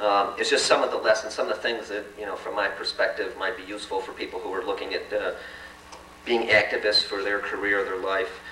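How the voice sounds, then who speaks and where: A man talks at a fairly quick pace, with noticeable background noise and audible room echo. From Chicago South Side. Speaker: community organizer. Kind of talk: public talk to an audience. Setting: forum event with live audience. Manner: fast; speeds up as he goes.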